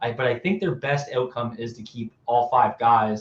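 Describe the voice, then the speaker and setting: Somewhat breathy and medium in pitch, a man's voice rises and falls with ordinary pitch variation. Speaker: football analyst. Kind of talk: live stream sports talk. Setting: live stream. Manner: fast, with many self-corrections.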